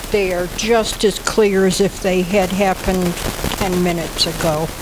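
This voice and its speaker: A woman's medium-pitched voice amid audible room echo and noticeable background noise. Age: 80s+. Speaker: near-death experiencer. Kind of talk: personal testimony.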